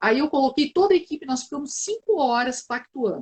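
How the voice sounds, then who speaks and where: Fairly quick and lively in intonation, a woman speaks at a high pitch. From southern Brazil, Porto Alegre. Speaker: team development consultant in public service. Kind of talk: live webinar conversation.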